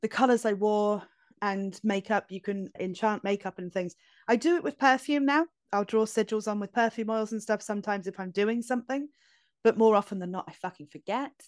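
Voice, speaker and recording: A woman's fairly high voice in a Scottish accent, fairly quick, with ordinary pitch variation, dry and close with no echo, in a very clean recording with a silent background. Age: 30s. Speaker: tarot reader. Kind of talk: interview conversation.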